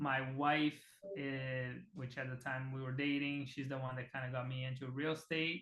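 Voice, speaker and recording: At a fairly slow pace, a man with a Portuguese accent speaks at a fairly high pitch with fairly even intonation. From Brazil (Rondônia, Amazon region). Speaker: real estate team CEO. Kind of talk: casual interview.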